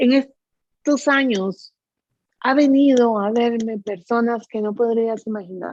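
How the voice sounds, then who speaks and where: The woman's pitch is fairly high. She talks at a very slow pace. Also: ordinary pitch variation. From Guatemala. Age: 60s. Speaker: psychic medium. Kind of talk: interview.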